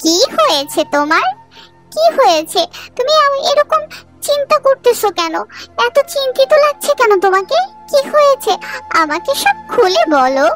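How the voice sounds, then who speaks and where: In a cartoonish character voice, a woman speaks at an extremely high pitch with very wide pitch swings and a fairly slow pace, the sound dry and close with no echo and faint music in the background. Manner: sharp, scornful.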